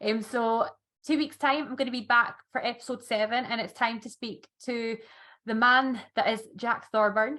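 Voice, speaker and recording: A woman's fairly high voice, held to fairly even intonation, is heard on a very clean recording with a silent background. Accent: Scottish. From Scotland. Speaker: podcast host. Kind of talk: casual interview chat.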